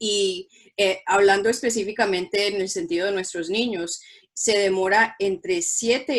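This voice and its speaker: A woman with a Spanish accent, medium pitch and a moderate pace. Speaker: school principal. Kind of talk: bilingual presentation for parents. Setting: online virtual presentation.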